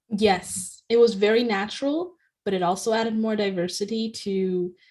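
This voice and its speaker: Using an unremarkable speaking voice, a woman talks at a moderate pace with fairly even intonation. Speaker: podcast co-host, author. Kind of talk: casual chat. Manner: fluent, lightly filled with ums.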